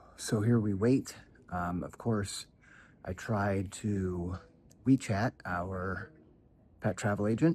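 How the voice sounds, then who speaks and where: A man with a fairly low pitch for a man speaks at a very slow pace with ordinary pitch variation. Long, frequent pauses break up his speech. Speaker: travel vlogger. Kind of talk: casual vlog. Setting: airport. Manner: whispering; loud.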